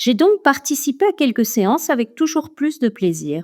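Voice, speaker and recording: With a dark, mellow tone, a woman's voice moves through very wide pitch swings in a dry, close sound with no echo. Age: 60s. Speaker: retired teacher. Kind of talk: testimony.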